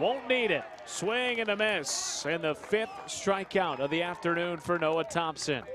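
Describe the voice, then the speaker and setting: Noticeable background noise sits behind a man whose high-pitched voice has lively intonation, very even loudness and hardly any pauses. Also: fairly slow pace. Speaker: play-by-play announcer. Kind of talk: live baseball play-by-play commentary. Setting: ballpark broadcast highlight package.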